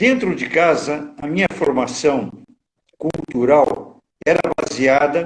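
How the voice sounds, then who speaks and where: Recorded dry and close with no echo, a man with a fairly high pitch talks at a very slow pace with ordinary pitch variation. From Brazil, Minas Gerais (Juiz de Fora). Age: 80s+. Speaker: psychologist and lawyer. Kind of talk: biographical interview. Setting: online live stream.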